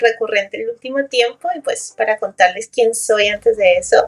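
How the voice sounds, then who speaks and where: A woman speaks with a high pitch. Her intonation is fairly even and her pace moderate. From Colombia. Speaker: neuroscience educator. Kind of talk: interview conversation.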